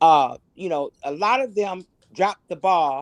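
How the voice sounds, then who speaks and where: A woman's voice, an ordinary speaking voice, dry and close with no echo. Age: 60s. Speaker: caller. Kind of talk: call-in livestream commentary.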